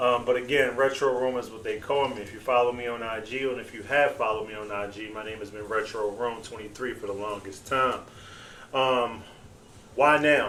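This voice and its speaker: Through audible room echo, a man of medium pitch talks at a moderate pace, with long, frequent pauses and big swings in loudness. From Baltimore, Maryland (East Baltimore). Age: 40s. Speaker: podcast host. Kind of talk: casual podcast monologue.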